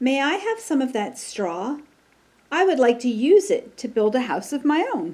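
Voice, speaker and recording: A high-pitched put-on character voice from a woman, with very wide pitch swings at a moderate pace. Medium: read story. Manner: polite.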